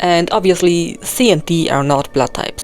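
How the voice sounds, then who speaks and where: A woman's fairly low voice in a non-native accent, fairly even intonation, moderate pace, music in the background. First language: not English. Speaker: video game theory youtuber. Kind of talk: voice-over commentary. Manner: occasional halting self-corrections.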